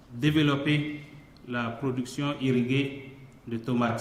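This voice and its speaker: Speaking very slowly, a man uses a fairly high pitch and a flat, monotone intonation. Room echo is audible. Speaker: member of parliament. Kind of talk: parliamentary debate. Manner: halting.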